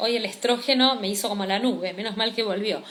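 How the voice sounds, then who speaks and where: A woman speaks in a raised, projected voice. Noticeable background noise and audible room echo fill the recording. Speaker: cosmetology teacher. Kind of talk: live-streamed class.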